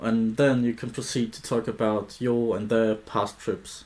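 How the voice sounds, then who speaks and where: A man speaks with a non-native accent. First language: not English. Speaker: travel vlogger. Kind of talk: solo vlog monologue.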